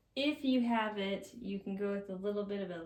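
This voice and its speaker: A woman at a medium pitch and fairly slow pace, with fairly even intonation and audible room echo. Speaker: makeup instructor. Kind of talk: tutorial. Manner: casual.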